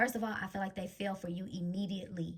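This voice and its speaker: A woman's somewhat breathy voice moves at a fairly quick pace with ordinary pitch variation. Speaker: tarot card reader. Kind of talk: psychic reading monologue. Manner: stutters at times; stumbling over words today.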